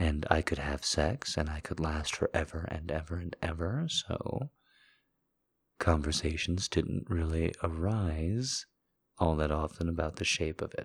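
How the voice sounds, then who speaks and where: Very deep and low in pitch, a man speaks at a fairly slow pace with ordinary pitch variation. His voice is somewhat breathy, in a very clean recording with a silent background. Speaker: podcast host. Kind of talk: intimate monologue. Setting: solo recording at night.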